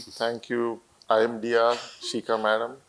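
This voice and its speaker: This man speaks at a medium pitch with a Marathi accent. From India, Marathwada region of Maharashtra (Parli). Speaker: company founder and CEO. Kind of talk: interview on stage. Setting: auditorium with student audience. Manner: hesitant, many fillers.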